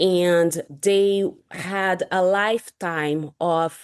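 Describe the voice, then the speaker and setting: In a Brazilian accent, a woman speaks at a fairly low pitch, the sound dry and close with no echo over a quiet background. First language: Portuguese. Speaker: sleep scientist and nurse. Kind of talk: podcast interview.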